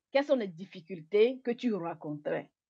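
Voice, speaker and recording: Against a quiet background, a woman speaks at a moderate pace with a medium pitch and a dark, mellow tone. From Togo. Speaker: interviewer. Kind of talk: interview. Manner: halting, mixing English words.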